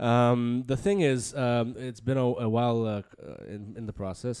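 This man's tone is dark and mellow. He has an American accent. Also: very clean recording, silent background. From US Northeast (Bronx, New York). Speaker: podcast co-host. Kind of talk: casual chat. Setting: studio.

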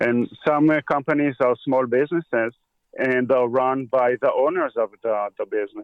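A man with an Israeli accent speaks at a moderate pace, his medium pitch carried in fairly even intonation. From Israel, grew up on a kibbutz. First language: Hebrew. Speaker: equipment repair technician. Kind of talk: casual interview.

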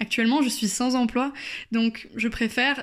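Fairly slow and monotone, a woman speaks with flat intonation at a fairly high pitch. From France, Bordeaux. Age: 20s. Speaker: podcast contributor sharing her experience. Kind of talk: personal testimony voice note. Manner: hesitant with fillers.

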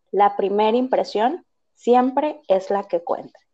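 Very slowly, a woman speaks at a fairly high pitch. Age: 20s. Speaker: psychologist. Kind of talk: interview. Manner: hesitant, many fillers.

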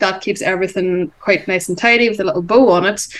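Fairly quick talk from a woman at a medium pitch, her pitch varying in an ordinary way over noticeable background noise. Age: 40s. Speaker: business coach and entrepreneur. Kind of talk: interview.

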